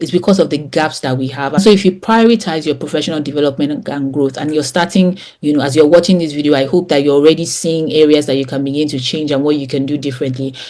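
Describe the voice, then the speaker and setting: Her pitch is very deep and low for a woman, and her tone dark and mellow, with ordinary pitch variation. She talks at a very fast pace with hardly any pauses. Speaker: communications trainer. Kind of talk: online course lecture. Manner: animated.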